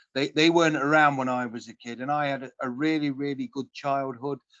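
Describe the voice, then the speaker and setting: Speaking with a British accent at a moderate pace, a man has a fairly high pitch and a bright, sharp tone in a dry, close sound with no echo. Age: 40s. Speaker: podcast host. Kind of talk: interview.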